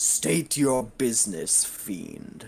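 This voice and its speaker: A man's booming, raspy put-on character voice, medium in pitch, with very wide pitch swings. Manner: commanding, powerful.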